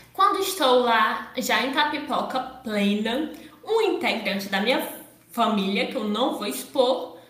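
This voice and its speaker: Pitched high, a woman speaks at a fairly slow pace with very wide pitch swings, and audible room echo surrounds her. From Ceará, Brazil. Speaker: podcast host. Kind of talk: casual chat.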